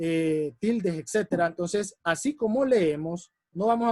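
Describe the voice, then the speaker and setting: A man's voice comes through as a dry, close sound with no echo. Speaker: public speaking workshop instructor. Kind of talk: workshop lecture. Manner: fast.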